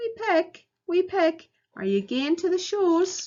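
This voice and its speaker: A put-on character voice from a woman, extremely high-pitched and fairly slow, in a Scots accent. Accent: Scottish, Scots dialect. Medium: read story.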